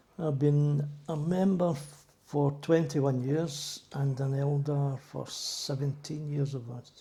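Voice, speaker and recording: A fairly high-pitched man's monotone, flat delivery at a very slow pace, over noticeable background noise. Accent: Glaswegian. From Scotland, Glasgow (Drumchapel). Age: 70s. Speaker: church elder, retired docker. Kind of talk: interview.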